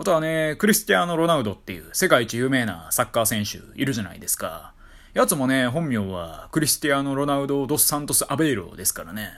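A man with a Kyoto accent, at a very fast pace and a fairly high pitch, with very wide pitch swings, on a very clean recording with a silent background. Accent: Kyoto-Kansai Japanese. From Kyoto, Japan. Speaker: solo podcaster. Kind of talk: casual monologue.

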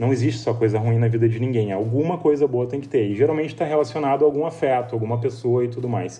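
A man with a southern Brazilian accent talks at a very fast pace and medium pitch, somewhat breathy, in a dark, mellow tone with ordinary pitch variation. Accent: gaúcho Brazilian Portuguese. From Rio Grande do Sul, Brazil (São Sebastião do Caí). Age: 30s. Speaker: entrepreneur. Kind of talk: interview.

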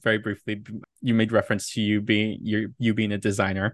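A man in a Californian accent talks at a fairly quick pace with a fairly low pitch. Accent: Californian American English. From Southern California, Inland Empire. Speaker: podcast host and creative producer. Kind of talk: casual interview chat.

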